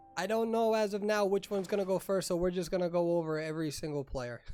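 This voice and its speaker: A man's high-pitched voice with an East Coast US accent and ordinary pitch variation, music in the background. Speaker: esports tournament emcee and commentator. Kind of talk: live commentary. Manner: animated.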